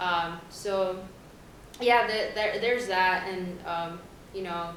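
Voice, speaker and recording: Amid noticeable background noise and audible room echo, a woman of medium pitch with an American accent speaks at a very slow pace with fairly even intonation. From US, Honduran family. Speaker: college student. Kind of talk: panel talk.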